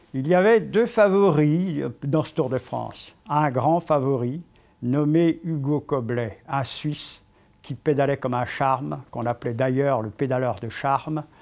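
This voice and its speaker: A normal speaking voice at a fairly slow pace, with ordinary pitch variation over a quiet background. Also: man, fairly high pitch for a man. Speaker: sports commentator, cycling. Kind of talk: storytelling, historical anecdote narration.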